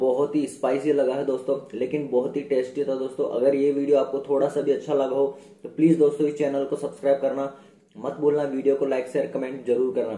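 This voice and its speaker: Speaking at a fairly slow pace in a monotone, flat intonation, a man is heard with audible room echo. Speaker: food challenge vlogger. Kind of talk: casual vlog chat. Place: home room. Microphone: phone near.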